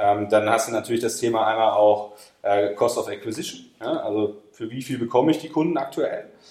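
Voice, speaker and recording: Delivered at a moderate pace, a plain, everyday voice carries ordinary pitch variation. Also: man, medium pitch for a man. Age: 30s. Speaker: e-commerce company managing director. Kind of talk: podcast interview.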